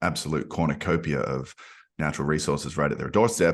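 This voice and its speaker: Vocal fry in an Australian accent, at a moderate pace with fairly even intonation, against a quiet background. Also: man. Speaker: podcast host. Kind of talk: podcast interview.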